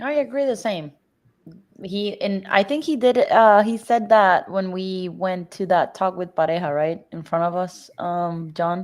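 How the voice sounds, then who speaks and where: At a fairly slow pace, a woman with a Spanish accent speaks with lively intonation. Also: medium pitch for a woman. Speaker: soccer podcast co-host. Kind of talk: casual chat.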